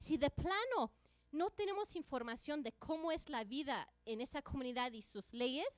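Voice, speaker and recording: The sound is dry and close with no echo as a woman talks at a fairly slow pace in a high voice. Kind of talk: conference presentation.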